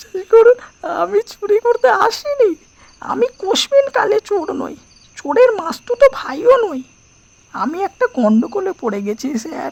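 In a put-on character voice pitched extremely high, the lines come at a fairly slow pace. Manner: tearful pleading.

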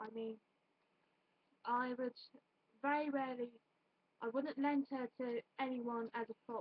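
Speaking at a moderate pace with a British accent, a woman has a high pitch and fairly even intonation, the sound dry with no echo. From United Kingdom. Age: 20s. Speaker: YouTuber. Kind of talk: casual vlog monologue. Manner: rambling, halting. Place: home room. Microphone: webcam.

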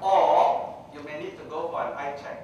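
Amid strong room echo and light background noise, a man talks at a fairly slow pace. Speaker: public speaker. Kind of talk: lecture. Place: hall.

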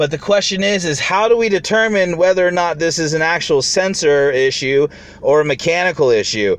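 Dry sound with no echo carries a man speaking at a moderate pace with ordinary pitch variation. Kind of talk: tutorial. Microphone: phone near.

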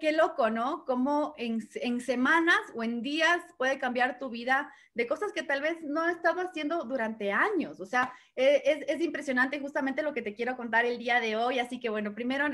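Against a quiet background, a woman speaks at a moderate pace. Her pitch is high, with ordinary variation. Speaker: network marketing trainer. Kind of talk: motivational talk. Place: home room. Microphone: webcam.

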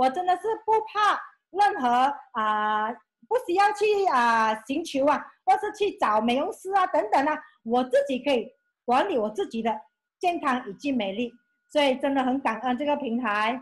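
Against a quiet background, a woman with a high voice speaks at a moderate pace, her pitch swinging very widely between long, frequent pauses. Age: 50s. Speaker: former school clerk, beauty brand representative; presenter. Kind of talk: testimony. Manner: animated. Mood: enthusiastic, grateful. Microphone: video call.

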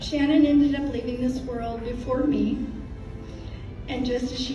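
A woman speaks in a high voice, with audible room echo and clear music in the background. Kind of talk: memorial speech. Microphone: camera far.

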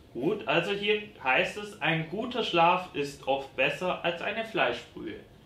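A man at a high pitch, with lively intonation and a very slow pace, amid audible room echo and faint music in the background. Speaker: quiz host. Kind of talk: game show hosting. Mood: playful, teasing. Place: studio.

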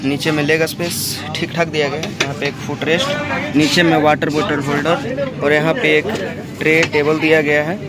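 A man talks at a fairly slow pace over loud background noise. The sound is dry, with no echo. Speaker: travel vlogger. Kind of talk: casual vlog chat. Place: train. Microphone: phone near.

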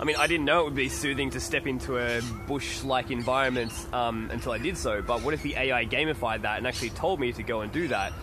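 Over noticeable background noise, a man with an Australian accent talks at a very fast pace, the sound dry with no echo. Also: ordinary pitch variation. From Australia, country New South Wales. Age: 20s. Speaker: video blogger. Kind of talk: vlog monologue. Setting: outdoors in a park. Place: forest. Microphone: phone near.

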